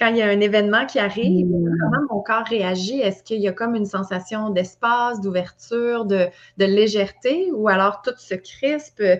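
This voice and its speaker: Speaking with a Quebec accent, a woman at medium pitch keeps a moderate pace and ordinary pitch variation. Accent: Québécois French. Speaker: wellness trainer and coach. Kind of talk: interview answer.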